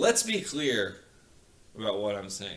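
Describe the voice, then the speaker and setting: A man talks at a fairly slow pace with very wide pitch swings. Noticeable background noise and audible room echo are present. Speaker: podcast guest, entrepreneur. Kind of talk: casual chat. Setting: podcast recording, sitting next to host. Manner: quiet today; usually loud.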